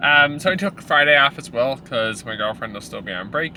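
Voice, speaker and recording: A man speaks at a fairly quick pace with lively intonation. Noticeable background noise runs behind him. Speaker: powerlifting vlogger. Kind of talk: casual vlog chat. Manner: casual, many fillers.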